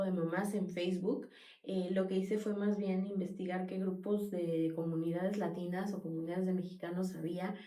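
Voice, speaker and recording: The speaker keeps a fairly even intonation while audible room echo hangs on the words. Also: woman. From Mexico. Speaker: podcast guest, immigrant mother. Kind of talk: interview conversation.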